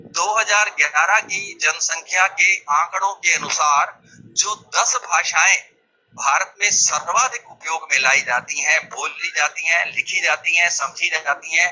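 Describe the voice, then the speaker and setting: This man has a high voice, and his pitch rises and falls in an ordinary way. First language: not Hindi (another Indian mother tongue) (speaking Hindi). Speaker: Hindi writer and speaker. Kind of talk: public speech. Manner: formal.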